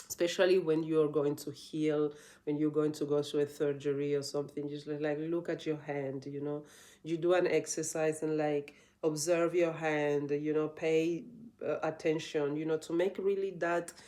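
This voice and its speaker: A woman with a non-native accent speaks at a moderate pace in a very deep, low pitch, her dark, mellow tone held in a monotone, flat intonation. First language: not English. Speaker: yoga teacher. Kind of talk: casual vlog talk. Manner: halting, many restarts and fillers.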